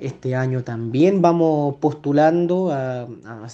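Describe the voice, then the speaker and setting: A man's fairly high-pitched voice with a dark, mellow tone and ordinary pitch variation. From central Chile, San Fernando, Colchagua. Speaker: folk singer and guitarist. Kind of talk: interview.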